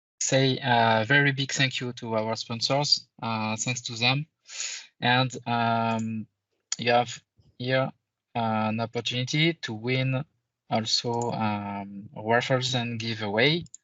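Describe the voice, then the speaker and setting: Speaking very slowly with a French accent, a man uses a medium pitch and fairly even intonation. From France. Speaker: conference presenter, IT consultant. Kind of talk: conference presentation. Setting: virtual conference, screen sharing. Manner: halting, many fillers.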